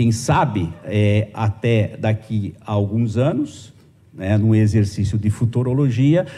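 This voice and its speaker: A man talks in a somewhat breathy voice. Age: 50s. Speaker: journalism professor. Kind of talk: conference lecture. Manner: hesitant, many fillers.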